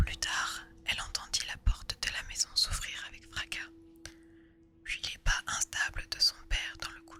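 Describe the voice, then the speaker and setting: A whispering woman at a fairly slow pace, with big swings in loudness and noticeable background noise. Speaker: ASMR artist. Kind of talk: read story. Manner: whispered.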